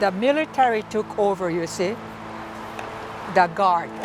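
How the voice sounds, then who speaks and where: With ordinary pitch variation, a woman talks while music plays in the background. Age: 80s+. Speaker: elderly farm family member, war memories. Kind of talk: interview answer.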